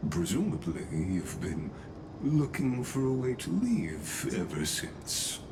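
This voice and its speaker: Over loud background noise, a man uses a put-on character voice, speaking at a fairly slow pace with a fairly low pitch. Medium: video game. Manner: formal, polite.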